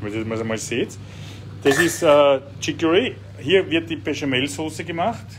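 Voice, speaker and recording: Over noticeable background noise, a man with a fairly high voice speaks at a moderate pace, his pitch swinging very widely. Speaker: cooking show host and politician. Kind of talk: casual chat while cooking. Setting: home kitchen, live stream. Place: kitchen. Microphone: phone near.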